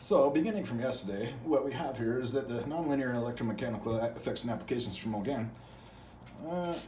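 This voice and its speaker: A man at medium pitch and a very fast pace, with ordinary pitch variation, noticeable background noise, and audible room echo. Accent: American. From US Midwest. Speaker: channel host reading from academic books. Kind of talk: casual monologue; reading aloud with commentary. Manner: halting, many fillers and repetitions.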